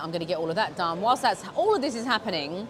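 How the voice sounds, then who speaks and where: A woman in a London accent, very fast, with an animated tone and lively intonation over crowd noise in the background. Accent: British English, London. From England, UK (British Pakistani). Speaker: vlogger. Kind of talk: casual vlog.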